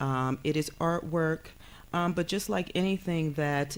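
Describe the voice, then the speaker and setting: The speaker has an American accent and fairly even intonation. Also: woman. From New York, South Bronx. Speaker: counseling professor. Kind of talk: TV talk show interview. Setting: TV studio. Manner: many filler sounds (um, uh).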